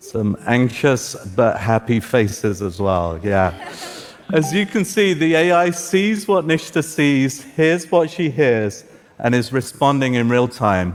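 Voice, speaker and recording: A man speaks at a medium pitch with very wide pitch swings. His pace is very slow, and noticeable background noise is present. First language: Farsi. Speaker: tech executive presenting augmented reality. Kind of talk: live tech demo talk. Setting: stage with audience.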